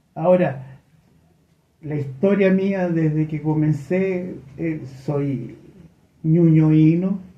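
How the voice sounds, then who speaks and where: With audible room echo, a dark, mellow tone and fairly even intonation, the speaker moves at a very slow pace, leaving long, frequent pauses. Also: man, fairly high pitch for a man. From Chile, Santiago (Ñuñoa). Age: 70s. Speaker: HIV activist. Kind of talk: radio interview.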